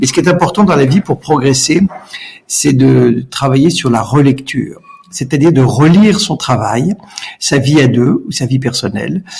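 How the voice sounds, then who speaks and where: Lively intonation from a man with a fairly high voice, moderate in pace, against noticeable background noise. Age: 60s. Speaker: entrepreneur. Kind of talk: podcast interview. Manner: hesitant, repeats words.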